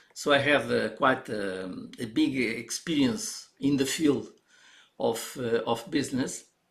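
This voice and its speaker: At a very slow pace, a man with a medium pitch speaks with vocal fry and ordinary pitch variation. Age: 70s. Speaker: organizational constellations trainer. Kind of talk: live stream presentation. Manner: halting, many fillers.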